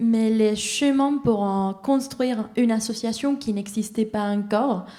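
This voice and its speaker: With a non-native accent and a dark, mellow tone, the speaker goes at a very slow pace and keeps the intonation fairly even. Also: woman. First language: not French (speaking French). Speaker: audience member. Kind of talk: audience question. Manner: halting.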